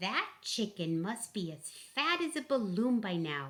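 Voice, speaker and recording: Pitch swings very widely in this put-on character voice. The delivery is fairly slow. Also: woman, medium pitch for a woman. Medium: read story.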